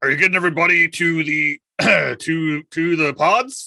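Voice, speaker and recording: A man puts on a gruff character voice. He pitches it high and keeps a moderate pace. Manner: authoritative.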